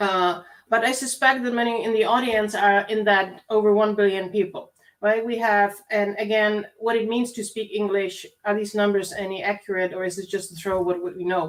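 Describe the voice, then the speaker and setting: A woman speaks with a Czech accent, her intonation fairly even. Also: medium pitch for a woman, moderate pace. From Czech Republic. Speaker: university lecturer. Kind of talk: lecture.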